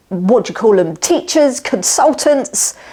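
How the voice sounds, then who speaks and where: A woman speaks in a southern English accent. Her pitch swings very widely. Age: 50s. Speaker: woodworker and Etsy seller. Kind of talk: casual self-introduction.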